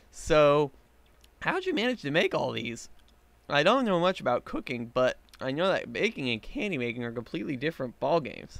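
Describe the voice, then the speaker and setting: Putting on a character voice, a man talks at a fairly quick pace with a fairly high pitch. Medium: read story. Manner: skeptical, questioning.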